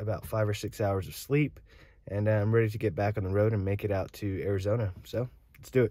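Very fast and fairly even in intonation, a man speaks with a fairly low pitch and a dark, mellow tone, the sound dry with no echo over a quiet background. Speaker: travel vlogger. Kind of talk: casual vlog chat. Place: car. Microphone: phone near.

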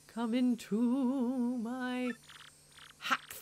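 A female-sounding put-on character voice holds a high pitch in a flat monotone. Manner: creepy.

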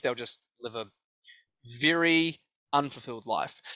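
A man with a New Zealand accent, a fairly high pitch, ordinary pitch variation and a bright, sharp tone, in a dry sound with no echo against a quiet background. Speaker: life coach and speaker; life coach, speaker. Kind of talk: interview. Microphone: headset.

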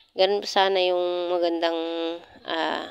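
Speaking at a fairly slow pace, a woman with a fairly low voice is heard in a dry recording with no echo. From Philippines. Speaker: vlogger. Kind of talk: casual vlog narration. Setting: outdoors in garden. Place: garden.

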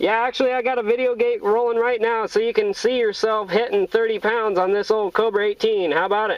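Speaking at a fairly quick pace, a man holds a high pitch with little pitch movement.

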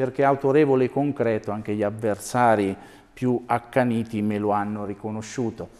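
A man's dark, mellow tone with ordinary pitch variation. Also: quiet background. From Umbria. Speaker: mayoral candidate, former mayor; candidate, former mayor. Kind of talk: TV interview. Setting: TV studio. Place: studio. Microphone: lapel.

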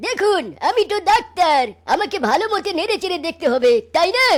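A cartoonish character voice at an extremely high pitch delivers its lines at a moderate pace. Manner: colloquial, exclamatory.

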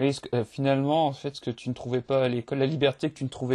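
With a dark, mellow tone and flat, monotone intonation, a man speaks at a fairly quick pace in a dry, close recording with no echo. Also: quiet background. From France, Limoges. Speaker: podcast host. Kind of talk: interview. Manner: hesitant, stammering.

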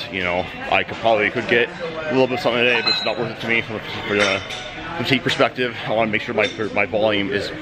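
A man speaks over loud background noise. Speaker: powerlifter vlogger. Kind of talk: casual vlog chat. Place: gym. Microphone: phone near.

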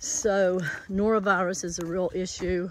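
Very slowly, the speaker talks in a dry sound with no echo over light background noise. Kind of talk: casual vlog chat. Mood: matter-of-fact about foot pain. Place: forest. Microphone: phone near.

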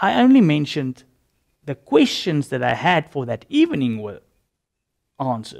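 Speech comes at a fairly slow pace with long, frequent pauses and big swings in loudness over a quiet background. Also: man. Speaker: religious convert giving testimony; interview guest. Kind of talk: testimony. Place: studio. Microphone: lapel.

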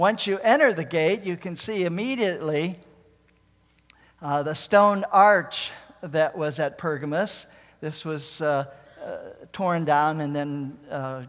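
A man at a fairly slow pace, with ordinary pitch variation, big swings in loudness, long, frequent pauses and a quiet background. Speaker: preacher showing travel photos. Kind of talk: sermon. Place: church.

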